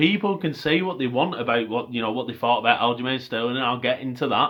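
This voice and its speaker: Using a Lancashire accent, a man speaks at a very fast pace with a medium pitch and ordinary pitch variation. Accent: Bolton. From northern England, Bolton. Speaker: MMA commentator / YouTuber. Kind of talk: casual fight review monologue.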